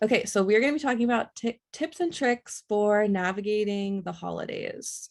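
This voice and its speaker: A woman with a fairly high pitch and ordinary pitch variation talks with hardly any pauses, the sound dry and close with no echo. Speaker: online educator, workshop presenter. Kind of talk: online workshop presentation. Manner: fast.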